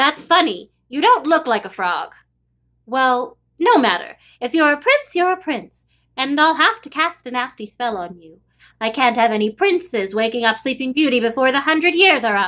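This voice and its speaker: A menacing, croaky put-on character voice from a woman, high-pitched, at a moderate pace, in a very clean recording with a silent background. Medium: read story. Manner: sly, menacing.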